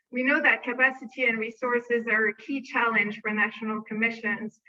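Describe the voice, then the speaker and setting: A woman talks with fairly high pitch in a monotone, flat delivery. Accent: non-native. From France. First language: French. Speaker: arms control program manager. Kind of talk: conference presentation.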